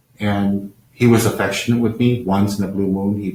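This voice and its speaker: Fairly low-pitched and somewhat breathy, a man talks at a fairly quick pace in a flat monotone. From Taiwan, then New Jersey, US. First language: Chinese. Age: 50s. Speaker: Buddhist lama. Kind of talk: live-stream talk. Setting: live-stream over unstable connection. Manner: halting with fillers.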